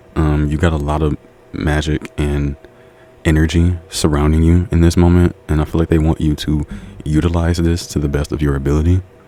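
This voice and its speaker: Noticeable background noise accompanies a man with a very deep, low pitch. He moves at a fairly quick pace. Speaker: tarot reader. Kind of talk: tarot reading. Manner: fast; animated.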